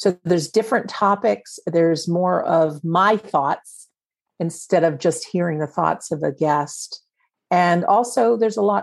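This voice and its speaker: This woman has an unremarkable speaking voice with fairly low pitch and ordinary pitch variation. She talks at a fairly slow pace. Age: 50s. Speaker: afterlife author and podcast host. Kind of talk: interview.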